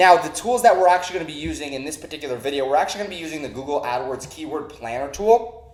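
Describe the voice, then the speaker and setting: Over noticeable background noise and audible room echo, a man with a fairly high pitch talks at a very fast pace in an energetic tone with ordinary pitch variation. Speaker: online marketing trainer. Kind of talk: tutorial.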